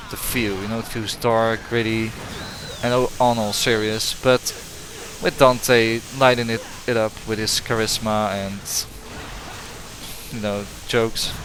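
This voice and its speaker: Over noticeable background noise, a man talks at a fairly slow pace with long, frequent pauses. His intonation stays monotone and flat. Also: medium pitch for a man. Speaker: gaming YouTuber. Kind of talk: game review commentary. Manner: halting, many fillers and restarts.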